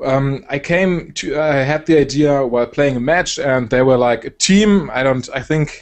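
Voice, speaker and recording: Speaking at a moderate pace with hardly any pauses, a man with a German accent has a fairly high pitch. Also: ordinary pitch variation. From Germany. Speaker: esports caster and video creator. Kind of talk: casual interview chat. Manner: hesitant, many fillers.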